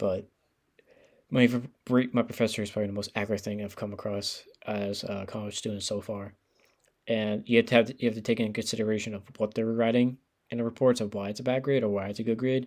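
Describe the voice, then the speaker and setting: A man talks at a very fast pace with monotone, flat intonation. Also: medium pitch for a man. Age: young. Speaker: college student vlogger. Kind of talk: casual advice monologue. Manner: halting, many fillers.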